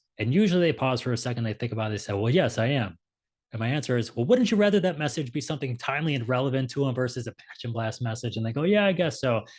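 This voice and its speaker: A man talks at a very fast pace with lively intonation and a somewhat breathy sound. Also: medium pitch for a man, quiet background. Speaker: ecommerce marketing expert. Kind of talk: webinar presentation.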